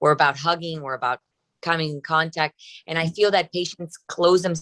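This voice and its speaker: With a Spanish accent, a woman speaks at a fairly quick pace and a very deep, low pitch, in a dry, close sound with no echo. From Cuba. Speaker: breast surgeon. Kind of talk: interview. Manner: hesitant, many fillers.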